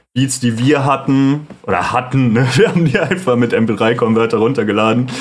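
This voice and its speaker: In an unremarkable speaking voice, a man talks at a fairly slow pace with fairly even intonation. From Sauerland, western Germany. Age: 20s. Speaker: music producer and podcast host. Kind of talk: solo monologue, casual. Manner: casual, many filler sounds.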